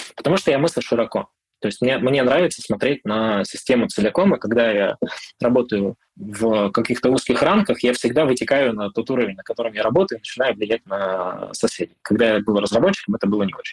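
Here a man has a plain, everyday voice at medium pitch with lively intonation. The sound is dry and close, with no echo. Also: fairly quick pace. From Siberia, Irkutsk region. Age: 30s. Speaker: product manager and mentor. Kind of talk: interview.

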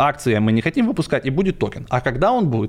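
Very fast, lively intonation from a male speaker. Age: 40s. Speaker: crypto entrepreneur. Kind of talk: casual chat. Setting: studio.

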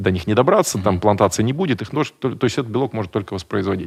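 A man speaks with lively intonation. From Buryatia, Russia (village). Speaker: food company executive and space entrepreneur. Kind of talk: interview.

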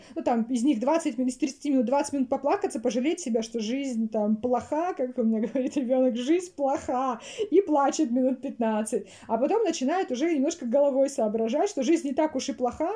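At a moderate pace, a woman speaks with a high pitch, a dark, mellow tone, and ordinary pitch variation. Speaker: training project manager. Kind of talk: interview.

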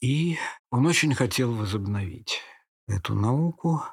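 A man at a fairly slow pace, lively in intonation and somewhat breathy, with a dry, close sound, no echo and a very clean recording with a silent background. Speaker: poet and literary historian. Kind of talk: interview.

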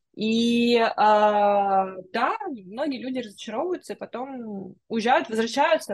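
A woman speaks in an ordinary speaking voice, pitched fairly high, with ordinary pitch variation. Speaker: podcast host. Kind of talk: casual interview chat. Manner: warm, friendly, effusive.

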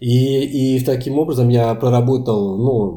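The tone of this man's voice is dark and mellow. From France. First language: Portuguese (speaking Russian). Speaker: language lecturer. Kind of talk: interview.

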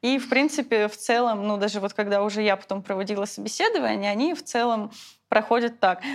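Her fairly high voice races along at a very fast pace as the woman speaks. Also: ordinary pitch variation. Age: 20s. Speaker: former cult member. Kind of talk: testimony.

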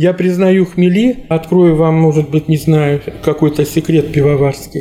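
Over noticeable background noise, a man with a fairly high pitch talks at a fairly slow pace, his intonation fairly even. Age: 60s. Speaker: brewery technologist. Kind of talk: interview. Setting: brewery office.

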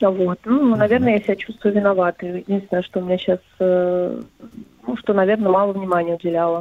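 A woman with a normal speaking voice talks at a fairly quick pace in a medium pitch, her loudness very even and her intonation fairly even. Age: 40s. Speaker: caller. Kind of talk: phone-in consultation.

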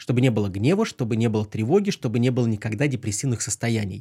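A man talks at a very fast pace with a medium pitch, ordinary pitch variation and a somewhat breathy, dark, mellow tone. The recording is very clean, with a silent background. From Pskov region, Russia. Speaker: former hypnotist, magician, psychologist. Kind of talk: casual chat; card trick demonstration.

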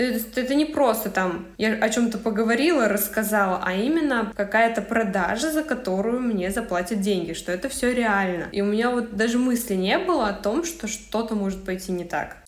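Against noticeable background noise, a woman with a fairly high pitch speaks at a moderate pace with ordinary pitch variation and hardly any pauses. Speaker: young mother, aspiring entrepreneur. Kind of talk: personal testimony in coaching chat. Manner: loud, abrupt.

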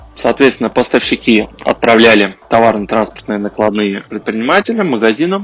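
Noticeable background noise accompanies a man talking at a fairly quick pace with ordinary pitch variation. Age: 30s. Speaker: podcast host, IT engineer. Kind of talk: solo podcast monologue. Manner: halting, with filler sounds.

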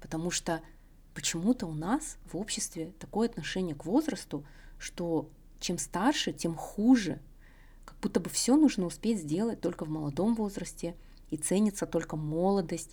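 This woman's medium-pitched voice has a dark, mellow tone and lively intonation. She moves at a moderate pace, leaving long, frequent pauses. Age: 30s. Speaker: podcast host. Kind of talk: solo monologue podcast.

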